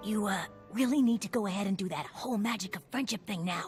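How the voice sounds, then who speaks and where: A female-sounding, cartoonish character voice rushes at a very fast pace with a medium pitch. Clear music plays in the background. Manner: eager, chatty.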